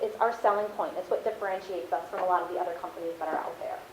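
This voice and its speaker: There is audible room echo around this woman's voice. Noticeable background noise is present too. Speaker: marketing account supervisor, guest speaker. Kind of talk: class talk. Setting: classroom. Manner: fast.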